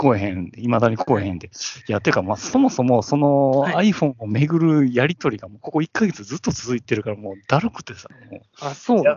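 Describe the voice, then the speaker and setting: A man at medium pitch, fairly quick in pace, with lively intonation and big swings in loudness. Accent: Kansai. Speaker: podcast co-host. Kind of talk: casual chat.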